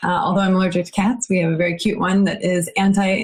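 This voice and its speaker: Over noticeable background noise, a woman with an American accent speaks very fast at a medium pitch. Her intonation stays fairly even. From United States. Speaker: tech business founder. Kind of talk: casual chat.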